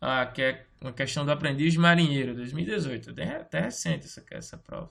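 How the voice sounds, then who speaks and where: The speech moves at a fairly quick pace with vocal fry throughout. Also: man. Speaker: teacher. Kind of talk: lecture.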